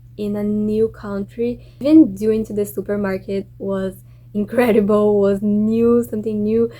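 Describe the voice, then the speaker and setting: In a Brazilian accent, a woman talks fairly slowly. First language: Portuguese. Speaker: exchange student vlogger. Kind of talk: casual vlog.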